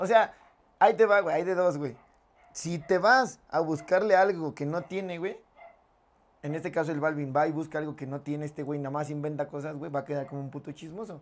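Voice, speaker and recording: This man has a fairly high voice and talks at a fairly quick pace. His loudness swings a lot. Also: ordinary pitch variation. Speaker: podcast co-host. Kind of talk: casual chat. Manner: animated.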